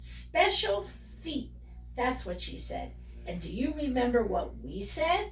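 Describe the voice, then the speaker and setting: Against clear background noise, a woman does a put-on character voice at a fairly slow pace. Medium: read story. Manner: gossipy.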